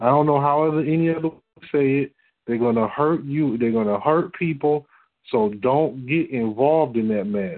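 A man with an American accent uses a normal speaking voice, fairly high in pitch, with ordinary pitch variation, a moderate pace and very even loudness. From Detroit, Michigan. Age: 40s. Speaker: religious teacher on a call-in fellowship line. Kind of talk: teaching talk on a conference call.

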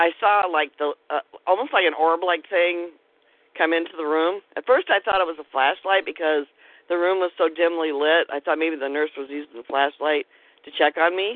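A plain, everyday voice at a moderate pace, with ordinary pitch variation and big swings in loudness. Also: woman. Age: 50s. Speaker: author and paranormal investigator. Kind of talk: casual interview chat.

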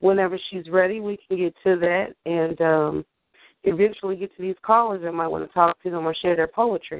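With an ordinary speaking voice, a woman talks at a fairly quick pace, her pitch fairly low and her intonation fairly even. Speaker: guest co-host of poetry radio show. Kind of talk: casual interview chat.

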